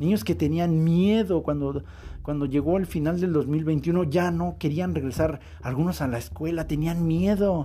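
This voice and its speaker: A man's fairly high, dark, mellow voice at a fairly slow pace, with ordinary pitch variation. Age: 40s. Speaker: podcast host. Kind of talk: monologue podcast.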